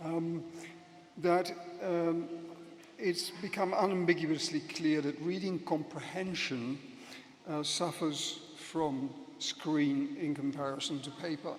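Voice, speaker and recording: A man with a Dutch accent talks at a very slow pace, leaving long, frequent pauses, his voice high-pitched with ordinary pitch variation. The room echo is audible, and there is noticeable background noise. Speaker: professor. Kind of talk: conference speech. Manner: hesitant, many fillers.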